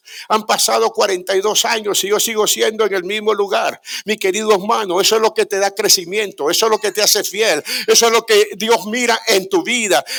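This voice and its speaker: A man's high-pitched voice, bright and sharp in tone, in a flat monotone at a fairly quick pace. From Guatemala. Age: 70s. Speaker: pastor. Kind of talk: sermon.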